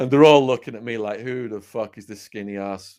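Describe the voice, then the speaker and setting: A man with an English accent speaks at a medium pitch with fairly even intonation in a very clean recording against a silent background. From England. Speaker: former drug dealer, storyteller. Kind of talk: casual chat. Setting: live stream.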